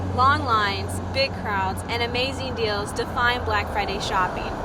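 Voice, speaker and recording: A woman speaks over noticeable background noise. Room echo is audible too. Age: 20s. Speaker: student journalist. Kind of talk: news report. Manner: formal.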